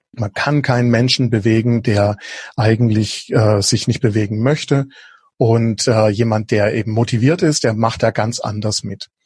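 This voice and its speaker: With medium pitch and a somewhat breathy sound, a man talks at a fairly slow pace with fairly even intonation. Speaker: innovation coach. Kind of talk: podcast interview.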